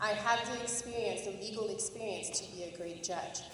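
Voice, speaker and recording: A woman talks with fairly even intonation, her voice carrying audible room echo over noticeable background noise. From France. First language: French. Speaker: judicial candidate, prosecutor. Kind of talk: campaign speech. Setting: public forum with audience, microphone.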